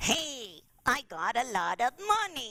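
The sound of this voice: Nasal and fairly high-pitched, a put-on character voice moves at a fairly slow pace.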